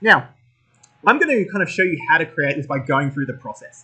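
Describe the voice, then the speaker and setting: With an Australian accent, a man talks very fast at a fairly high pitch, his tone bright and sharp and his intonation lively. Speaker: tech school educator. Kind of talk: tutorial. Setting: recorded at workstation with laptop and phone.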